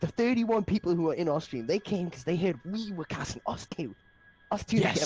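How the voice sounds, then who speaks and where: Very fast speech with a British accent over background music. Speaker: esports caster streaming a game. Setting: live stream.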